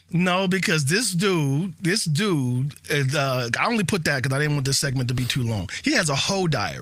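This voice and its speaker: Noticeable background noise sits behind a man with a fairly high pitch. His intonation is lively and he speaks with hardly any pauses. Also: moderate pace. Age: 40s. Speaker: podcast co-host. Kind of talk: casual chat.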